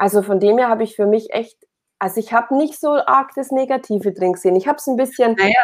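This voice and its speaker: A woman speaks at a very fast pace, her fairly high voice showing ordinary pitch variation. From Bavaria, Upper Palatinate (Oberpfalz). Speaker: performance and business coach. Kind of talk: casual interview.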